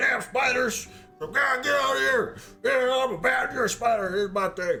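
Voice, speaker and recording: Against faint music in the background, a put-on character voice comes through raised and projected. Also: man, extremely high pitch for a man, moderate pace. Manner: grumpy, shouting.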